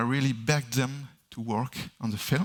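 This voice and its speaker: In a French accent, a man speaks at a moderate pace with fairly even intonation, recorded very cleanly against a silent background. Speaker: sound designer. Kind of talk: conference Q&A answers. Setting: stage with audience. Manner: halting, many fillers.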